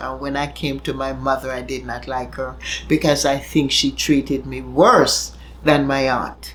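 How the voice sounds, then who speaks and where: At a moderate pace, a woman talks over noticeable background noise. Audible room echo fills the recording. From Jamaica. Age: 70s. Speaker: elderly woman sharing her life story. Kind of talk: interview testimony.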